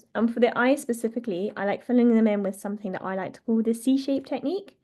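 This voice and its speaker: Talking at a very fast pace, a woman with a Yorkshire accent has a fairly high pitch, a dark, mellow tone and ordinary pitch variation. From northern England, North Yorkshire. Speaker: wildlife artist. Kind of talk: online drawing tutorial. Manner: casual, hesitant with many fillers.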